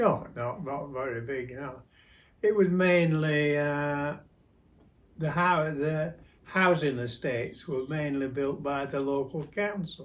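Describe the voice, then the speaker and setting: A man with a Yorkshire accent talks at a very slow pace in a fairly high pitch, with ordinary pitch variation. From South Yorkshire, England. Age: 90s. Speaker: grandfather interviewee. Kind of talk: casual interview. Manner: halting.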